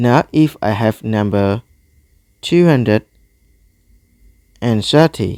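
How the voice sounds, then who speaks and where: Very slow, non-native-accented speech with lively intonation, a dark, mellow tone, long and frequent pauses, and a dry, close sound without echo. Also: man, medium pitch for a man. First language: not English. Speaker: math tutor. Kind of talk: tutorial. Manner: halting.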